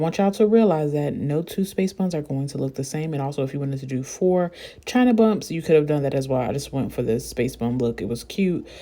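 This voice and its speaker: A woman speaks very fast with hardly any pauses, her very deep, low voice dark and mellow and her intonation lively. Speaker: beauty vlogger. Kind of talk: tutorial.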